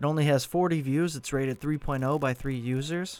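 Using a normal speaking voice, a man talks at a fairly high pitch. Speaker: podcast host and narrator. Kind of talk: horror story narration, read aloud. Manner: hushed, slow and suspenseful, building dread; intimate first-person storytelling, eerie.

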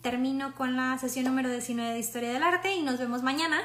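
A woman speaks with a high pitch and ordinary pitch variation. Audible room echo and noticeable background noise are present. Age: 30s. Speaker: art history presenter. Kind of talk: lecture. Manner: casual, with filler hesitations.

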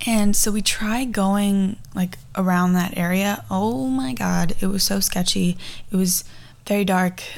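Fairly slow delivery with very even loudness, ordinary pitch variation and audible room echo. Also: woman, medium pitch for a woman. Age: 20s. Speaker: podcast host. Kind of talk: casual chat. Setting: home garage.

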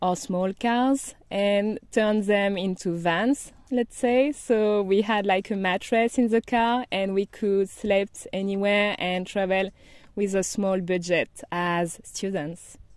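Speaking at a very slow pace in a French accent, a woman with a medium pitch keeps her intonation fairly even over a dry, close sound with no echo. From France, Brittany. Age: 30s. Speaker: digital nomad. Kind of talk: interview.

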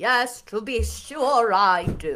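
A woman's put-on character voice, high and drawling, with lively intonation. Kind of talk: upper-class. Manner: drawling, languid.

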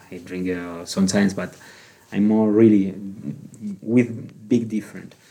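Speaking with a Spanish accent, a man has a fairly low pitch and a dark, mellow tone. He keeps a moderate pace and fairly even intonation, with long, frequent pauses. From Canary Islands, Spain. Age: 40s. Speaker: retail manager. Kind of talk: interview.

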